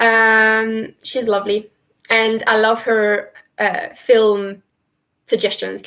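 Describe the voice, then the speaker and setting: A woman speaks with a fairly high pitch and a bright, sharp tone. The recording is very clean, with a silent background. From Italy. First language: Italian. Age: 30s. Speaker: travel vlogger. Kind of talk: live stream chat answering viewer questions. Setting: live stream from computer.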